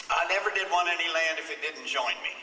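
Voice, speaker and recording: Amid noticeable background noise and audible room echo, a man with an American accent talks at a high pitch. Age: 70s. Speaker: farmer and speaker. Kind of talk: conference speech.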